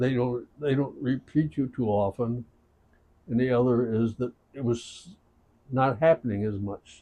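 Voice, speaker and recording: With long, frequent pauses, a man talks at a fairly slow pace in a dark, mellow tone at a medium pitch. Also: ordinary pitch variation. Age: 90s. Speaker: retired touring musician. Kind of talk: casual chat. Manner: halting.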